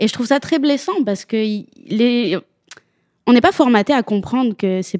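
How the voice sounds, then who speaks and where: Fairly high in pitch, a woman speaks at a fairly slow pace with long, frequent pauses. The sound is dry and close, with no echo. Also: lively intonation. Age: 30s. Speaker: woman unable to have children sharing her story. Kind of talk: podcast interview.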